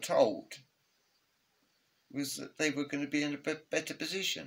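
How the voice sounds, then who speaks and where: A man speaks at a fairly slow pace in a fairly high pitch. His intonation stays monotone and flat. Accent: English. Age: 70s. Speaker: retired father sharing political views. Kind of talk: casual interview. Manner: halting.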